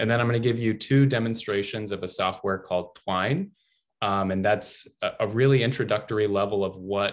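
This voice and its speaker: Over a quiet background, a man with an American accent talks at a fairly quick pace with fairly even intonation. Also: fairly low pitch for a man. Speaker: digital interactive designer. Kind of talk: online workshop presentation. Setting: video call. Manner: fast; halting, many fillers.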